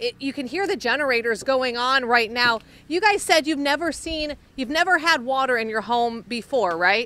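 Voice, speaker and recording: Projecting her raised voice with lively intonation, a woman speaks in a dry sound with no echo. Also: moderate pace. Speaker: TV field reporter. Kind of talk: live news report. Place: garden. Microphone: handheld.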